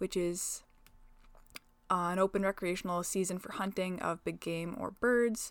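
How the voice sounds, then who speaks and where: This is a woman speaking. She has a western Canadian accent. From northwestern Alberta, Canada. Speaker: agricultural podcast host. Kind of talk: informative solo podcast talk. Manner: casual, laughs often.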